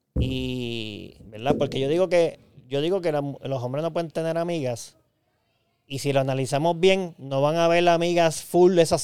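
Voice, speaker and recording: A man with a plain, everyday voice speaks at a fairly slow pace, his pitch fairly high. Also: very clean recording, silent background. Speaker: podcast co-host. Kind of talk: casual chat.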